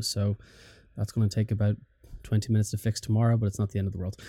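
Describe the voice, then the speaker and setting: In a very clean recording with a silent background, a man with an Irish accent speaks at a fairly low pitch in a dark, mellow tone. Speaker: podcast host. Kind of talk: casual chat.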